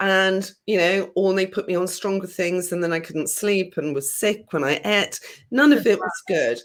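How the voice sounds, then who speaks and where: A woman speaks in a southern English accent at a medium pitch. Her pace is moderate and her pitch varies in an ordinary way. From southern England, countryside, born London. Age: 50s. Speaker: healer. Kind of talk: interview.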